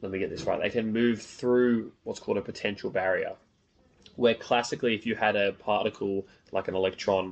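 An Australian accent at a moderate pace, with fairly even intonation. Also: man. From northern beaches of Sydney, Australia. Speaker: podcast host, physics student. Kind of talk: casual interview. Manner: halting, many fillers.

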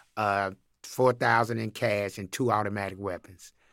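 Delivered at a fairly slow pace, the bright, sharp voice comes through a very clean recording with a silent background. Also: man. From Chattanooga, Tennessee. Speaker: campus minister. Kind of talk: testimony.

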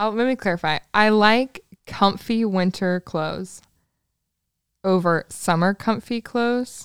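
A woman speaks at a fairly slow pace in a normal speaking voice at a medium pitch with ordinary pitch variation. The sound is dry and close with no echo. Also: very clean recording, silent background. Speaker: host's best friend and assistant. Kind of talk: casual chat. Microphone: sharing one microphone, faces close.

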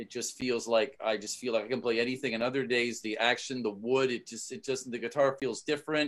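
An unremarkable speaking voice moves at a fairly quick pace with hardly any pauses. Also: man, medium pitch for a man, fairly even intonation. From Canada. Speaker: podcast host and musician. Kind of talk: casual interview.

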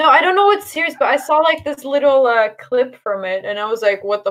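A woman talks at a fairly quick pace in a high pitch. Her pitch swings very widely. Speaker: podcast co-host. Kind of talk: casual chat. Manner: animated.

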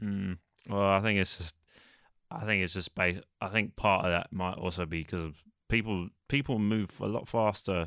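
On a very clean recording with a silent background, a man with a London accent speaks at a moderate pace in a very deep, low pitch with ordinary pitch variation, the sound dry and close with no echo. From England, East London. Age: 20s. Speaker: podcast co-host. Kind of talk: casual chat. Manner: hesitant.

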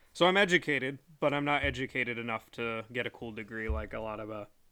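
A man's bright, sharp voice at a very fast pace with ordinary pitch variation, on a very clean recording with a silent background. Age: 30s. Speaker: podcast host; former Marine. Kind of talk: solo monologue. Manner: casual, filler-heavy speech.

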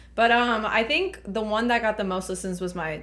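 A woman with an American accent talks at a moderate pace with vocal fry. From Laredo, Texas. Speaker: podcast host. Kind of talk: casual chat.

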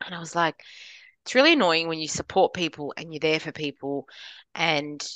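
A woman with an Australian accent speaks at a very deep, low pitch, leaving long, frequent pauses against a quiet background. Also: big swings in loudness, dry, close sound with no echo. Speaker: podcast co-host. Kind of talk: casual chat.

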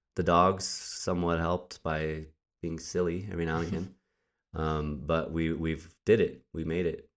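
A man with a very deep, low pitch, monotone and flat, at a moderate pace in a very clean recording with a silent background. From New Mexico, Albuquerque. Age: 30s. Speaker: podcast host, poet. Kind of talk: casual chat.

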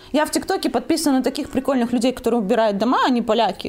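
Noticeable background noise sits behind a woman talking at a very fast pace. Her high voice has lively intonation. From Belarus. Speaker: clothing brand owner. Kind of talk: interview.

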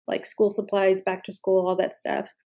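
A woman's medium-pitched voice, dark and mellow in tone, in a very clean recording with a silent background. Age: 30s. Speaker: podcast host. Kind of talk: solo podcast monologue.

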